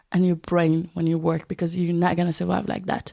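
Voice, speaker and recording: With an Arabic accent, a woman speaks at a fairly low pitch. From Syria. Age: 20s. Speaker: refugee and humanitarian volunteer. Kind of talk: interview testimony.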